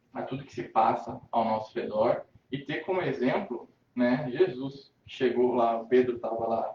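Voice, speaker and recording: This man has a medium-pitched voice. He speaks at a fairly slow pace. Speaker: spiritist lecturer. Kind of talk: spiritist lecture. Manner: halting.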